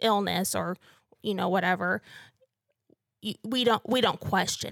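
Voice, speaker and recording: In an American accent with vocal fry and fairly even intonation, the speaker is captured in a very clean recording with a silent background and a dry, close sound with no echo. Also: woman. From northern Missouri. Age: 20s. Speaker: PhD student and cancer patient. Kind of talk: interview testimony.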